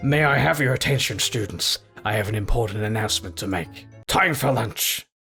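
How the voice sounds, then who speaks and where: A man puts on a raspy character voice at a fairly quick pace and fairly low pitch, with faint music in the background. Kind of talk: comic overacting. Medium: game stream. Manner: stern, pompous.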